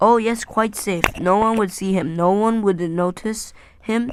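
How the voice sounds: Someone reads in a natural voice.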